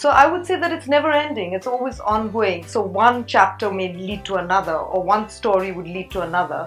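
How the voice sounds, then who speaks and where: With music in the background, a woman of medium pitch talks at a fairly quick pace with lively intonation and hardly any pauses. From England and Egypt. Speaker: children's book author. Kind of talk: interview answer. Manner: animated.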